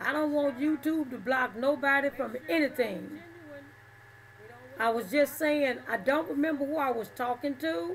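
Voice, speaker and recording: Speaking with a Southern US accent, a woman uses a high pitch with ordinary pitch variation. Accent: southern drawl. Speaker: livestreamer. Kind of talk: casual chat. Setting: livestream.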